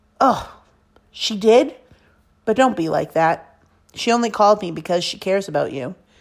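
A woman at medium pitch with lively intonation, moderate pace and long, frequent pauses, in a very clean recording with a silent background. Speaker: teacher reading a novel aloud. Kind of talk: casual enthusiastic book recommendation. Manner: expressive, narrative reading that voices dialogue with emotion, fairly steady pacing; enthusiastic and warm when recommending the book.

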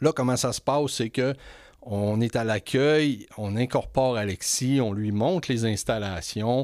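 In a Quebec accent, the voice moves at a fairly slow pace with ordinary pitch variation, captured in a very clean recording with a silent background. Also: man. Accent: Québécois French. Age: 50s. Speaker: podcast host. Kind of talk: interview.

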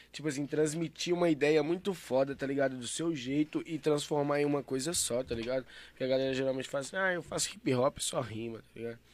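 A man speaks at a very fast pace with fairly high pitch, ordinary pitch variation and hardly any pauses, in a very clean recording with a silent background. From Santa Luzia, Minas Gerais, Brazil. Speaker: rapper. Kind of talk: casual chat.

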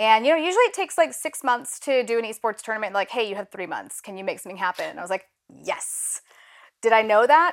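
A woman's fairly high voice at a very fast pace, with lively intonation and big swings in loudness. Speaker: head of social impact. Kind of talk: casual chat.

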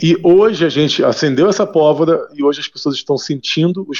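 This man has an unremarkable speaking voice, moving at a moderate pace with ordinary pitch variation. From Brazil, Rio de Janeiro. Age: 40s. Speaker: neuroscientist. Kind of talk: radio interview. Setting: phone call.

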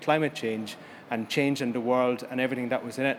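This man speaks at a medium pitch. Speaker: conference chairperson. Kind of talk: panel moderating at a conference. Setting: conference stage with audience. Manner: hesitant, repeats words.

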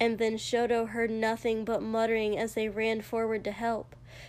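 What we hear is an unforced reading voice.

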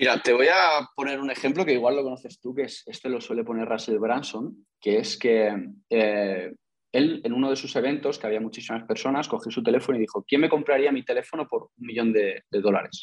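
A man with a plain, everyday voice speaks at a medium pitch. He moves at a fairly quick pace with ordinary pitch variation. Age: 20s. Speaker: investor and entrepreneur. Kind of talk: interview.

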